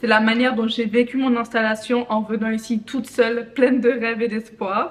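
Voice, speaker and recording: A woman speaks at a moderate pace in a high pitch. Noticeable background noise is present. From Benin. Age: 20s. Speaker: vlogger. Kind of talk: casual vlog monologue. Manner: animated.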